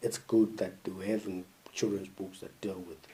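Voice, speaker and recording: A man's fairly low, dark, mellow voice with a Zimbabwean accent, at a moderate pace in monotone, flat intonation. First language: isiNdebele. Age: 20s. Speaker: podcast host. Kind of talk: monologue commentary. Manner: halting, with frequent fillers.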